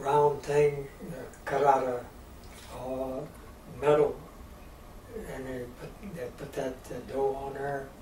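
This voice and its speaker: A man with a Midwestern US accent speaks in a fairly high voice. His intonation is monotone and flat, with noticeable background noise. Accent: rural Midwestern American. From rural Missouri. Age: 80s+. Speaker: storyteller of Depression-era rural life. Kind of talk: interview answer.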